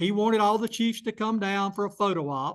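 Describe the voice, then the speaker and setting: Against a quiet background, a man talks at a fairly quick pace in a high pitch with ordinary pitch variation. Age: 70s. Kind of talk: public talk.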